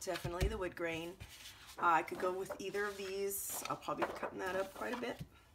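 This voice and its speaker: A woman's strained, very fast speech with ordinary pitch variation over loud background noise. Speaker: scrapbooking video creator; crafter reviewing a kit. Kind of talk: product unboxing. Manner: casual, halting with ums; restrained to avoid coughing.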